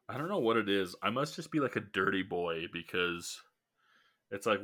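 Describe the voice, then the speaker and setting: Set against a silent background in a very clean recording, a man with a very deep, low pitch and a bright, sharp tone speaks at a moderate pace. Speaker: podcast host. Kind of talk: casual chat.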